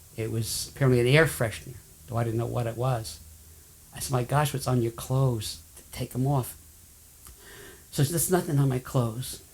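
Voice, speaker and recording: A man speaks fairly quickly and somewhat breathily, with long, frequent pauses. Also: medium pitch for a man, ordinary pitch variation. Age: 70s. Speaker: person with chemical sensitivity. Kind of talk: testimony.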